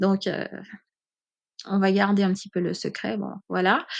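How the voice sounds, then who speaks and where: A woman talks here. Nothing much can be heard behind her. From French overseas islands (Caribbean), born in mainland France. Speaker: podcaster. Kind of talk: personal testimony. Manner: hesitant with many fillers.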